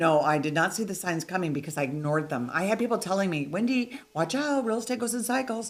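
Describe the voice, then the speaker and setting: Through noticeable background noise, a woman races along at a very fast pace with hardly any pauses and very wide pitch swings. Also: medium pitch for a woman. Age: 60s. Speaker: real estate investor. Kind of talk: casual interview.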